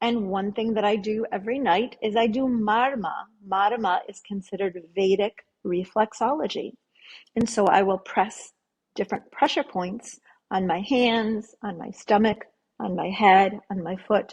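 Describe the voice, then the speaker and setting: A woman speaks at a fairly high pitch, somewhat breathy. Her pace is fairly slow, with ordinary pitch variation. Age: 60s. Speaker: yoga therapist. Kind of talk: interview.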